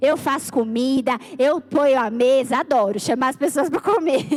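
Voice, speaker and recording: A woman speaks at a high pitch. The sound is dry and close, with no echo. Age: 40s. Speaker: church leader. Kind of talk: sermon.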